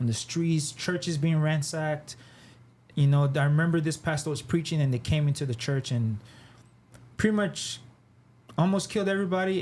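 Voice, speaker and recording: At a fairly quick pace, a man speaks in a somewhat breathy, fairly high voice with ordinary pitch variation. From Nigeria, moved to Canada then Texas as a child. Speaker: artist and designer. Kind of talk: podcast interview. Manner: casual, halting with many fillers.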